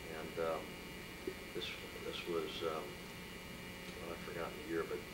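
A man with an American accent at a fairly slow pace amid loud background noise. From San Jose, California. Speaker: appellate judge. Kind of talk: oral history interview answer. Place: office. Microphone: camera far.

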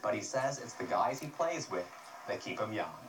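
A man's voice over noticeable background noise. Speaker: TV news reporter. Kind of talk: TV news report.

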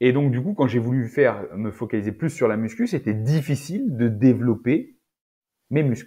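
Over a quiet background, a man with a somewhat breathy voice and a dark, mellow tone speaks at a moderate pace with ordinary pitch variation. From France, Auvergne (rural); France. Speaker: naturopath and nutrition adviser; podcast guest. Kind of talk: casual interview. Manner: halting, many repetitions and fillers. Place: home room. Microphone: earbuds.

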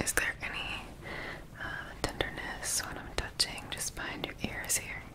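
A woman is whispering. Her pace is fairly slow. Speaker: ASMR artist playing a doctor. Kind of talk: ASMR medical roleplay. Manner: soft, calm, reassuring. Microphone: studio mic.

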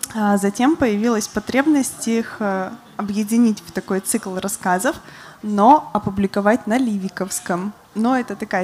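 A woman's fairly high voice, an ordinary speaking voice, with ordinary pitch variation and a moderate pace. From Republic of Karelia, Russia. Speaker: journalist and writer; journalist. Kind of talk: panel talk with reading in Karelian. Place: stage. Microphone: handheld.

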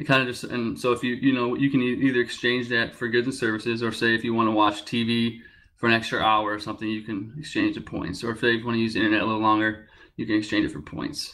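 A man talks at a very fast pace in a bright, sharp tone. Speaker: crypto project founder; presenter. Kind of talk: project update. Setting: online group voice call. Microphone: video call.

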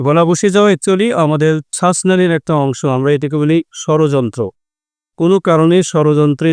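A man's fairly high voice with fairly even intonation, dry and close with no echo, against a quiet background. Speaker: ENT doctor. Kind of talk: health explainer interview. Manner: halting.

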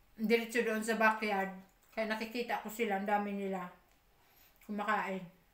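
Long, frequent pauses break up a woman's monotone, flat delivery at a moderate pace, with audible room echo. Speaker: vlogger. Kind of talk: casual eating vlog. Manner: chatty, with mouth full while eating. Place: home room. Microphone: phone near.

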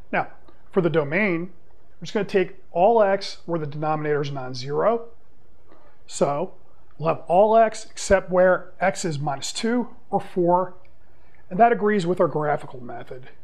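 The speech moves at a moderate pace with long, frequent pauses and big swings in loudness. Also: man, high pitch for a man, ordinary pitch variation. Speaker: math teacher. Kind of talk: lecture. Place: classroom.

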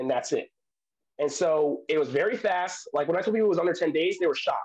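A man with an American accent talks very fast in a high voice with lively intonation against a quiet background. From US Northeast. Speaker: interviewee sharing travel and citizenship experience; interviewee. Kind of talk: casual interview. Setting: video call. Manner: halting, many fillers. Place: home room. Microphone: earbuds.

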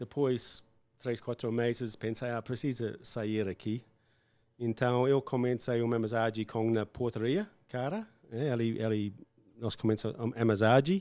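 A man's medium-pitched voice with an English accent, a dark, mellow tone and fairly even intonation, at a fairly slow pace against a quiet background. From Australia. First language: English (speaking Portuguese). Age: 50s. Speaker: English teacher, former farmer; podcast guest, English teacher. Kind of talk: casual interview chat. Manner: halting, with fillers. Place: studio. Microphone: studio mic.

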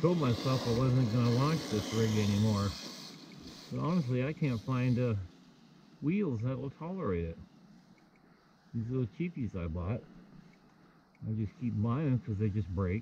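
At a moderate pace with long, frequent pauses, a man speaks in a dark, mellow, somewhat breathy tone, recorded dry with no echo over light background noise. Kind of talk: casual commentary. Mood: relaxed, enthusiastic. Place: street. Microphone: phone near.

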